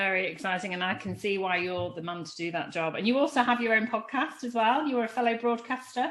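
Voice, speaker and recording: Speaking at a very fast pace in a Lancashire accent, a woman with fairly high pitch uses lively intonation and hardly any pauses. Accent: northern English (Lancashire). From England, Lancashire. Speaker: podcast host. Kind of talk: interview conversation.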